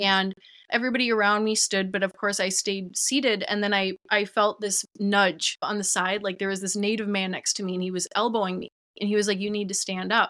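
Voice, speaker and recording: Speaking with an Upper Midwest accent, a woman has a bright, sharp tone and a medium pitch. She talks at a fairly quick pace with monotone, flat intonation. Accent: Upper Midwest American. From Minnesota, Twin Cities. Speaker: TikTok creator on ancestral healing. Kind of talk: casual interview chat.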